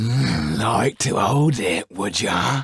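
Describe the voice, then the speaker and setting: The voice is a raspy, put-on character voice. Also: man. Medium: read story. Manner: coarse, menacing.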